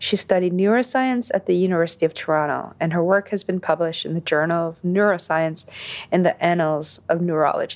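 A woman with an unremarkable speaking voice talks at a fairly quick pace over a quiet background. Her pitch is fairly low, with ordinary pitch variation. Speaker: podcast host reading guest intro. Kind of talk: scripted introduction.

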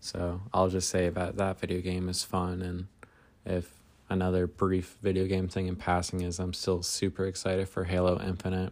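A man talks at a moderate pace with a very deep, low pitch. His intonation is monotone and flat. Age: 20s. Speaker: podcaster. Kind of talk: casual monologue. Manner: hesitant, many fillers.

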